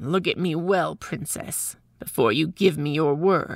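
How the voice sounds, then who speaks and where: In a very clean recording with a silent background, a woman uses a put-on character voice, growling at a very deep, low pitch with ordinary pitch variation and a fairly slow pace. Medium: read story. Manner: sly, self-important.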